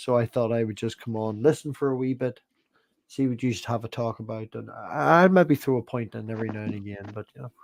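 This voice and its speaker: Very fast speech from a man with a Northern Irish accent, big swings in loudness, dry, close sound with no echo. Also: medium pitch for a man, ordinary pitch variation. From Northern Ireland. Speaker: livestream guest. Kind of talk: casual chat.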